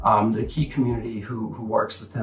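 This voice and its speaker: A man talks in a fairly low pitch with ordinary pitch variation. There is audible room echo and faint music in the background. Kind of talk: master class talk to camera. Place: home room.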